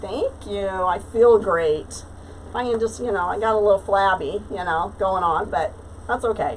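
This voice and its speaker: Moderately paced speech from a woman, with ordinary pitch variation. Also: medium pitch for a woman. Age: 60s. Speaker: craft livestreamer. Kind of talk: casual chat. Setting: live stream. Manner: chatty, hesitant with fillers.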